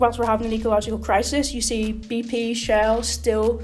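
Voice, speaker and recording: With a Belfast accent, a woman speaks fairly quickly against music in the background and audible room echo. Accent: Belfast Northern Irish. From Northern Ireland, Belfast. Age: 20s. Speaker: election candidate. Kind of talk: interview.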